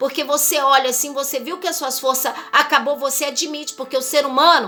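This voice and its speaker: Her voice raised and projected, a woman with a high pitch speaks at a fairly quick pace amid audible room echo and noticeable background noise. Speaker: missionary preacher. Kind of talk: sermon. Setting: livestream.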